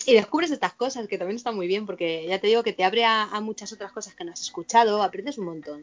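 A woman at a medium pitch talks at a very fast pace with hardly any pauses. Her pitch varies in an ordinary way, her loudness swings widely, and noticeable background noise is present. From Spain, Madrid. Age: 40s. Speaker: vice-president of a satanist association. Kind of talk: interview.

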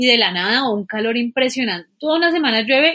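Speaking at a fairly quick pace, a woman with a fairly high pitch has an ordinary speaking voice. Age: 20s. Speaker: environmental engineer. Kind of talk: casual chat.

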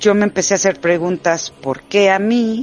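With a Mexican accent, the speaker uses ordinary pitch variation. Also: woman. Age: 40s. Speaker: witch. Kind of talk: testimony. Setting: remote connection.

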